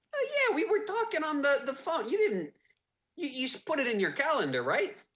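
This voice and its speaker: A man uses a put-on character voice, squeaky and extremely high in pitch. He talks at a fairly quick pace. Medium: actual play. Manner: stammering, folksy, friendly.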